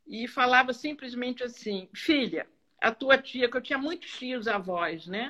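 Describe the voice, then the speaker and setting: Her voice is fairly high in pitch with a bright, sharp tone and lively intonation. The woman speaks at a fairly slow pace. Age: 70s. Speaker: psychoanalyst. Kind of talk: live stream conversation. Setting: online live stream.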